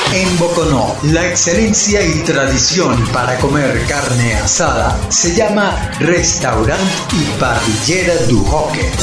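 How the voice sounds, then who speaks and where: Over clear music in the background, a man speaks at a very slow pace with audible room echo. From Venezuela. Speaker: voice actor. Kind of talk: radio commercial read.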